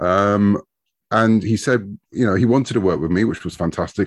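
A man with a British accent speaks in a very deep, low voice at a fairly quick pace, with ordinary pitch variation. The sound is dry and close with no echo, over a quiet background. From United Kingdom. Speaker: comic book writer. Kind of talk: casual interview chat.

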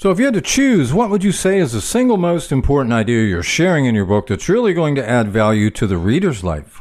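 A man speaks at a very fast pace with hardly any pauses. His fairly high pitch makes very wide swings. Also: very clean recording, silent background. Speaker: podcast host. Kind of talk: interview.

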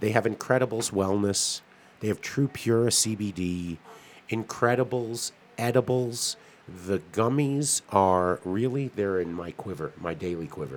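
A man with a plain, everyday voice, fairly low pitch, ordinary pitch variation and a fairly slow pace. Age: 50s. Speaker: cannabis podcast co-host. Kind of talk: casual chat.

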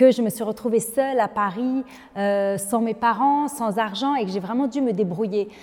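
An unremarkable speaking voice from a woman, fairly high in pitch, with ordinary pitch variation and a moderate pace. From Lebanon. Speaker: business leader and women's advocate. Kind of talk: interview.

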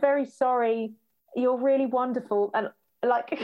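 A woman's voice with a British accent. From UK. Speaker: patient telling a hospital story. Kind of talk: casual conversation.

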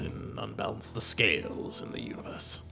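A man's put-on character voice at a fairly quick pace, over clear background noise. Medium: actual play. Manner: grumbling, hesitant, with hums.

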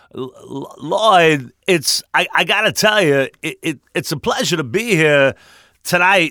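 A bright, sharp tone with an American accent, at a fairly slow pace, in a dry, close sound with no echo. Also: man, very clean recording, silent background. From Westchester, New York. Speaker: voice actor and sportscaster. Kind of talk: casual interview chat.

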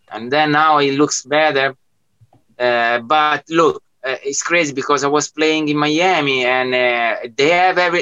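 A man speaks at a fairly slow pace with fairly even intonation and a fairly high pitch. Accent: Italian. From Italy. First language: Italian. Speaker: music producer and DJ. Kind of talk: casual interview chat. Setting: video call from studio.

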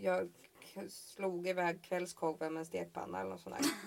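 Her voice is a woman's, pitched fairly low. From Sweden, Halland. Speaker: podcaster. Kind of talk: casual chat. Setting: outdoors on a patio.

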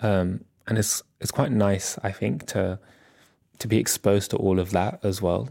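With a dark, mellow tone and vocal fry, a man speaks at a moderate pace in a fairly low voice with ordinary pitch variation. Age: 30s. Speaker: artist. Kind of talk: casual chat.

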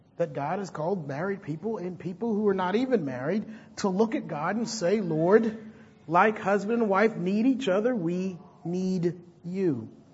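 Audible room echo surrounds a man speaking at a moderate pace. His pitch is high, with ordinary variation. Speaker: pastor. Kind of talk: sermon.

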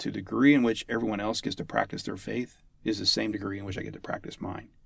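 A man with an American accent speaks at a fairly low pitch with vocal fry and ordinary pitch variation. The recording is very clean, with a silent background. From US, West Virginia (Huntington). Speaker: army chaplain. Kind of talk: interview.

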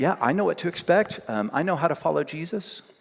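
Noticeable background noise sits under a man talking at a very fast pace. His pitch is fairly high. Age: 50s. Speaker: guest preacher and university teacher. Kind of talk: sermon. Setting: church service.

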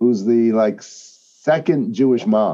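A man's ordinary speaking voice at medium pitch, with lively intonation. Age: 60s. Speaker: rabbi, podcast co-host. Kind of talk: casual conversation.

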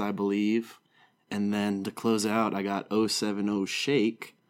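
A man with an American accent speaks at a fairly low pitch in a monotone, flat delivery. The recording is very clean, with a silent background. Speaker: podcast co-host. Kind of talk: casual chat.

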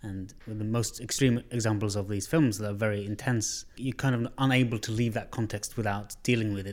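An unremarkable speaking voice from a man, fairly low in pitch, fairly quick, with fairly even intonation. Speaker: podcast host. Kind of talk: casual interview. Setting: studio.

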